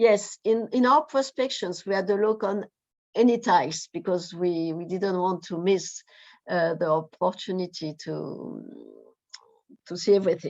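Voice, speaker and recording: A woman with a French accent, medium-pitched and fairly slow, with ordinary pitch variation. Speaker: researcher. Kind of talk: presentation. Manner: halting.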